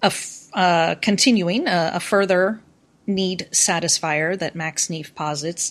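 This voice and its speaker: With an American accent, a woman talks at a fairly slow pace in a fairly low pitch with ordinary pitch variation, a normal speaking voice. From US. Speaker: university professor. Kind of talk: casual interview chat, educational discussion. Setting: remote call.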